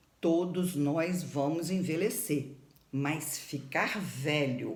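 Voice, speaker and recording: A woman speaks very slowly at a very deep, low pitch with ordinary variation. Audible room echo surrounds her voice. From Campos dos Goytacazes, Rio de Janeiro state, Brazil. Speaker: doctor and teacher of facial aesthetics. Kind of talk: informal educational talk to camera. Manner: emphatic.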